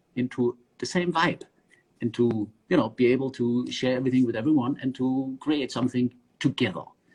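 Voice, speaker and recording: At a moderate pace, a man with a German accent speaks at a medium pitch in a somewhat breathy voice. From southern Germany (Swabia). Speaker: underwater filmmaker. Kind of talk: casual interview. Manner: hesitant with many fillers.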